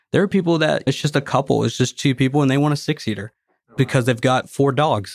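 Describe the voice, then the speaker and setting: Captured in a very clean recording with a silent background and a dry, close sound with no echo, a man with a Tennessee accent talks at a very fast pace in a fairly high pitch, with ordinary pitch variation and very even loudness. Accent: Southern US (Tennessee). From Tennessee (Nashville). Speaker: golf cart dealership president. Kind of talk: casual interview.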